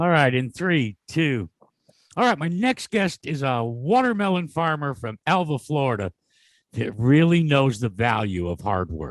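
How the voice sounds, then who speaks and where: A man speaks at a fairly slow pace with very wide pitch swings. The sound is dry and close with no echo, and the background is quiet. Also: fairly high pitch for a man. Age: 70s. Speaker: motorsport interview show host. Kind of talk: interview.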